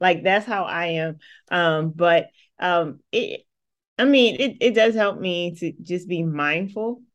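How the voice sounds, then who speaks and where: A woman with a plain, everyday voice and ordinary pitch variation. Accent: American. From New Jersey, Atlantic City. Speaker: filmmaker. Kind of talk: casual chat.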